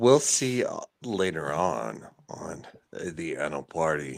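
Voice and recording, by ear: A man growls in a put-on character voice at a very deep, low pitch. He swings his pitch very widely and speaks at a fairly slow pace.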